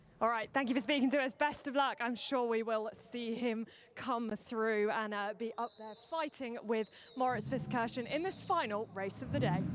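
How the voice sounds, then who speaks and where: A woman's fairly high-pitched voice with ordinary pitch variation, amid noticeable background noise. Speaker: pit lane reporter. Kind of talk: live grid interviews. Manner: fast.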